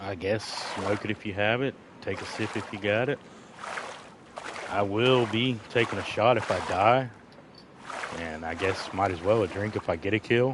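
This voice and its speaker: Quiet and mumbling in an American accent, the voice moves at a moderate pace with ordinary pitch variation and long, frequent pauses amid noticeable background noise. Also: man, fairly low pitch for a man. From Florida. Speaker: gaming streamer. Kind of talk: live gameplay stream chat. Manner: quiet, tends to mumble; casual, rambling.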